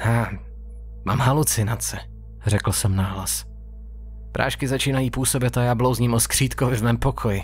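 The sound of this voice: With music playing in the background, a man talks at a moderate pace in very even loudness, leaving long, frequent pauses.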